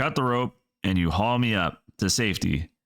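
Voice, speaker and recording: A man puts on a character voice, speaking at a fairly low pitch and a moderate pace. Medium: read story. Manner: hysterical, high-strung.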